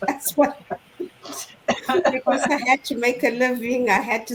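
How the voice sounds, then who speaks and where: Over noticeable background noise, a woman talks in a high pitch with fairly even intonation. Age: 60s. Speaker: online business owner sharing her story. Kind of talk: testimony in a live online panel chat. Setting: live online stream.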